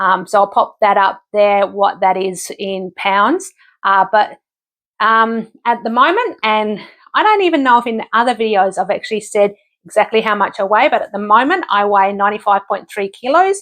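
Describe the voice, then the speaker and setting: Speaking at a moderate pace against a quiet background, a woman with an Australian accent has a fairly high pitch and ordinary pitch variation. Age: 50s. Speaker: vlogger. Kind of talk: casual vlog update. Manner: halting, many fillers.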